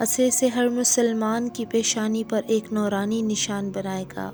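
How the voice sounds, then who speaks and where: Music plays in the background as a woman speaks. Her voice is fairly high and monotone, with flat intonation. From Pakistan. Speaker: voice over artist. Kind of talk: religious story narration.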